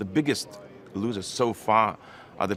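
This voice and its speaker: Here a man speaks with a Lithuanian accent. His pitch is fairly low. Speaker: foreign minister. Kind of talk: press conference statement and answers. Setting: press room.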